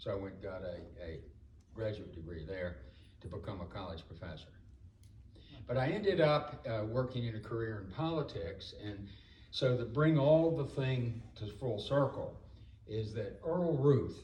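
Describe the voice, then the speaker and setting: With audible room echo, a man of medium pitch talks at a moderate pace, with very wide pitch swings, big swings in loudness, and long, frequent pauses. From North Carolina, Salisbury. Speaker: former political campaign worker. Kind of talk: reunion speech. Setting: homecoming dinner.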